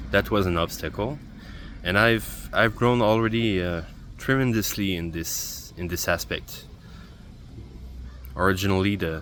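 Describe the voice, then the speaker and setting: With a non-native accent, a man speaks slowly-ish at a fairly low pitch, his intonation lively. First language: not English. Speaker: video journaling vlogger. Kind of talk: personal video journal monologue. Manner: halting, with repetitions.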